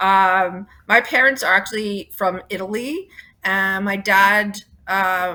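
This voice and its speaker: In a Toronto accent, a woman speaks very slowly with a bright, sharp tone and fairly even intonation. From Toronto, Canada. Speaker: rock band singer and bassist. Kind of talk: interview.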